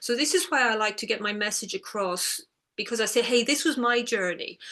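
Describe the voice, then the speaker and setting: Talking at a fairly quick pace, a woman has an Irish accent and a fairly high pitch. Her tone is bright and sharp, and her intonation is lively. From Ireland, near the border. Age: 60s. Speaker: author and eating disorder recovery coach. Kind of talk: interview conversation.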